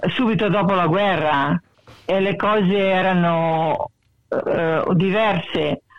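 Speaking very slowly, a woman uses a medium pitch. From Italy, Belluno province (Veneto). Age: 80s+. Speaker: Italian emigrant, retiree. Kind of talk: interview, life story. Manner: halting, many hesitations.

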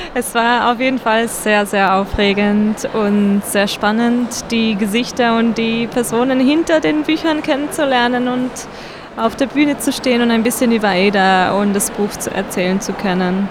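Noticeable background noise surrounds a woman speaking at a moderate pace with very even loudness. Her pitch is fairly high and varies in an ordinary way. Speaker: children's book illustrator. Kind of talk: interview.

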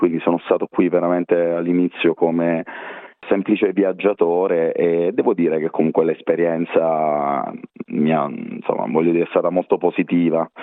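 A man speaks at a very deep, low pitch. His moderate-paced delivery stays monotone and flat. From Italy, Teramo (Abruzzo). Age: 40s. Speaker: water polo coach. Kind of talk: interview.

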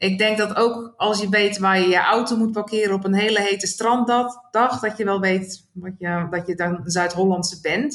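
An ordinary speaking voice at a moderate pace, with fairly even intonation. There are hardly any pauses. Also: woman, medium pitch for a woman. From Netherlands, South Holland (Rijnsburg). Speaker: Dutch emigrant interviewee. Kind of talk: interview.

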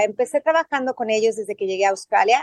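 Recorded with a dry, close sound and no echo, a woman speaks with a Mexican accent at a fairly high pitch. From Mexico City. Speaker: journalist and swim teacher. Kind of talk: interview.

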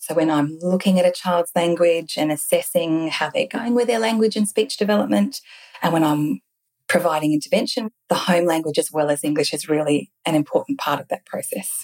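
Speaking at a fairly quick pace, a woman has an unremarkable speaking voice at a fairly low pitch. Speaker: speech pathologist. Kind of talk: interview.

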